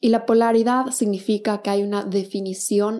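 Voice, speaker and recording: A woman talks at a moderate pace in a medium pitch. Her intonation is fairly even and her tone dark and mellow. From Ecuador, Quito. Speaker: podcast host, psychology. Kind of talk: solo podcast talk.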